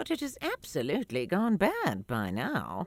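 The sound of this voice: A woman uses a put-on character voice at a fairly low pitch with very wide pitch swings. She goes at a fairly slow pace while faint music plays in the background.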